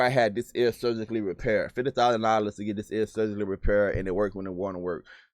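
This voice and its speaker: A man with a Southern US accent speaks in an animated tone with ordinary pitch variation. The recording is very clean, with a silent background. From US South. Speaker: sales trainer and YouTuber. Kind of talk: live stream Q&A. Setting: live stream. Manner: fast.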